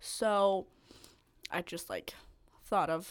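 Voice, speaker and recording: A woman at medium pitch and a very slow pace, on a very clean recording with a silent background. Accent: Danish. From Denmark, north of Copenhagen. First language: Danish. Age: 20s. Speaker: medical student. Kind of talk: casual chat.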